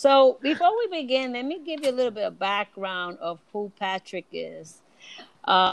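A woman at a fairly slow pace with very wide pitch swings, in a dry, close sound with no echo. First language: Spanish. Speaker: podcast host. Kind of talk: casual interview chat.

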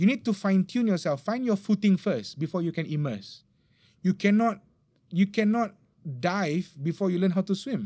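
Heard in a very clean recording with a silent background, a man speaks at a moderate pace in a high pitch with a dark, mellow tone. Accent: Malaysian. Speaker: religious teacher. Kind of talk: religious talk in casual podcast interview. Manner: laughs often.

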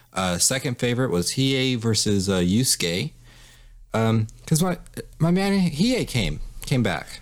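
Keeping his loudness very even, a man of medium pitch speaks at a fairly slow pace with very wide pitch swings. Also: very clean recording, silent background. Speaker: anime podcast guest. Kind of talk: casual chat.

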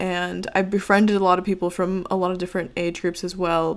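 Speech from a woman, captured in a very clean recording against a silent background. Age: 20s. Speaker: YouTuber. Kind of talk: casual solo podcast monologue.

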